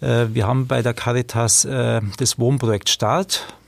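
Against noticeable background noise, a man talks at a fairly slow pace in a medium pitch with ordinary pitch variation. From Regensburg, Bavaria. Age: 40s. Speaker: street social worker. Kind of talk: interview.

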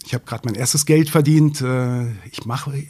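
A man with medium pitch speaks at a very fast pace. His voice is somewhat breathy with a dark, mellow tone. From northern Germany, Braunschweig. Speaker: journalist and author. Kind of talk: interview. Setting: studio.

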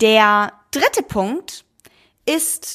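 A woman's fairly high-pitched voice in a very clean recording with a silent background. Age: 20s. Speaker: podcast host. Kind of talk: solo monologue podcast.

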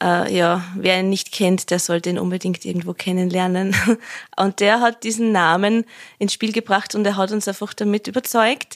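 A woman's unremarkable speaking voice at medium pitch, fairly even in intonation and moderate in pace, dry and close with no echo on a very clean recording over a silent background. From Lower Austria. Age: 30s. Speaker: musician. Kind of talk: interview.

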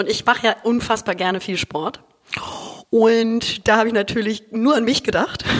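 A woman speaks at a moderate pace in a fairly high pitch. Her tone is animated. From Hamburg, northern Germany. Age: 30s. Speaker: content creator and podcaster. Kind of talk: casual chat.

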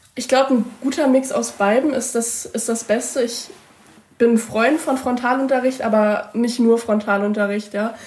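A woman talks with fairly even intonation against noticeable background noise. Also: fairly high pitch for a woman, moderate pace. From Mecklenburg-Vorpommern, Usedom. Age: young. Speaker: school student representative. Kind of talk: interview answers.

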